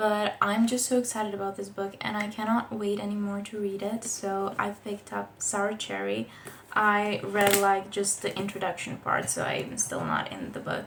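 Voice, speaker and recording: Over noticeable background noise, someone with a non-native accent speaks at a moderate pace in monotone, flat intonation. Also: woman, medium pitch for a woman. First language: not English. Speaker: book vlogger. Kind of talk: casual book review vlog. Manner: casual, with fillers and restarts.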